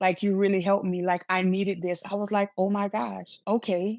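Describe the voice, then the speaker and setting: In a very clean recording with a silent background, a woman with a Louisiana accent speaks at medium pitch. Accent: Louisiana Southern US. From Louisiana, Lafayette. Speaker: motivational speaker. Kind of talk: interview. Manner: repetitions and blocks.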